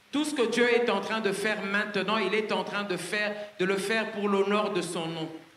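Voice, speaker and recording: High-pitched male voice at a moderate pace, fairly even intonation, audible room echo. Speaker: French interpreter; preacher. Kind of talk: consecutive interpreting of a sermon; sermon. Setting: church, live audience. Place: stage. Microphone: handheld.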